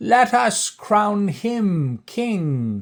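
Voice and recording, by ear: A man performs a put-on character voice. It is high-pitched and shaky.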